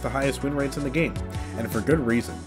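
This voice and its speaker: Over background music, the speaker races at a very fast pace with very wide pitch swings. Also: man. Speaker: gaming YouTuber. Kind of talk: video game commentary narration.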